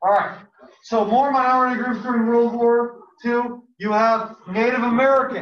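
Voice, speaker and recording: Audible room echo surrounds a man's voice. His extremely high pitch stays monotone and flat. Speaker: high school history teacher. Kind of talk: classroom lecture. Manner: fast.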